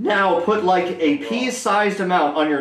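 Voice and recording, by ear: A man's voice at a fairly slow pace, with ordinary pitch variation and strong room echo.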